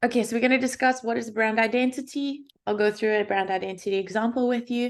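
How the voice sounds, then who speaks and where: In a South African accent, a woman with a fairly high voice talks very fast with fairly even intonation. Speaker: UX designer, workshop speaker. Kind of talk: workshop presentation.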